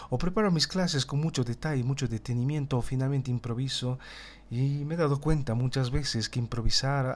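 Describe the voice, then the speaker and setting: Over a very clean recording with a silent background, a man of medium pitch talks at a fairly quick pace with ordinary pitch variation. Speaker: political analysis podcaster; teacher. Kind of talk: solo political commentary. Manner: stumbles over words at times; tense, somewhat dramatic narration.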